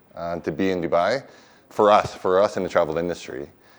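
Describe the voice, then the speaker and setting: This man speaks at a very fast pace. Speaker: hotel general manager. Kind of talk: welcome speech. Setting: stage with audience. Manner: hesitant, many fillers.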